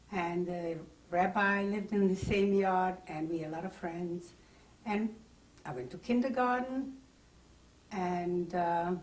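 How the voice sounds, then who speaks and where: A somewhat breathy woman's voice at a medium pitch, fairly slow with long, frequent pauses, ordinary pitch variation and audible room echo. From Czechoslovakia (Carpathian Ruthenia, now Ukraine). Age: 60s. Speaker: Holocaust survivor. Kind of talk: oral history interview. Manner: halting.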